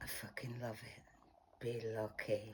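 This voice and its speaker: A man puts on a husky character voice at a medium pitch, speaking at a fairly slow pace. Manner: sultry.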